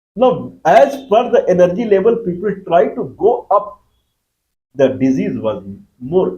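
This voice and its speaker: High for a man, his voice carries a dark, mellow tone. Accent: Bihari. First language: Magahi. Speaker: YouTube lecturer. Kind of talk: lecture.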